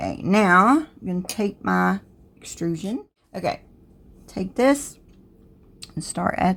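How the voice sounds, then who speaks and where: A woman with a Southern US accent at a very slow pace, with long, frequent pauses. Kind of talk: tutorial. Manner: casual, conversational.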